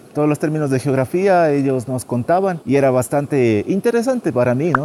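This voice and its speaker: At a moderate pace, a man with a northern Ecuadorian accent speaks with ordinary pitch variation against noticeable background noise. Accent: northern Andean Ecuadorian Spanish. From Ecuador, Carchi province (northern Andes). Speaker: tour guide vlogger. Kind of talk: casual vlog monologue. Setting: outdoors.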